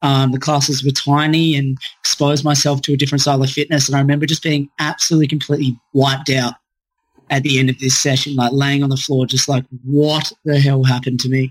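Speaking very fast in an Australian accent, a man keeps a fairly high pitch, a monotone, flat intonation and very even loudness, in a dry, close sound with no echo. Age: 20s. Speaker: gym owner and fitness coach. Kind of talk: podcast interview.

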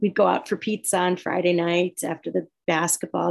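The speaker talks at a moderate pace with noticeable vocal fry. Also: woman. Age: 50s. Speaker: meeting participant. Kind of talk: share in support meeting.

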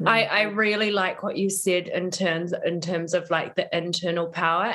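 A woman talks in a fairly low pitch with ordinary pitch variation. Noticeable background noise runs behind her. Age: 30s. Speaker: yoga and embodiment coach. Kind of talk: interview conversation.

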